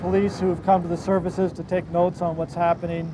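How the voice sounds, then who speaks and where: Against noticeable background noise, a man with an American accent talks fairly quickly in a high pitch for a man, his intonation flat and monotone. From United States. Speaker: pastor. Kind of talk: lecture to a tour group.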